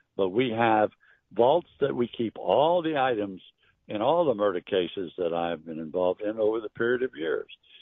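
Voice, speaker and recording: This man's medium-pitched voice moves at a moderate pace and swings very widely in pitch. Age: 80s+. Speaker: private investigator. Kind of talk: interview. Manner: sounds hostile.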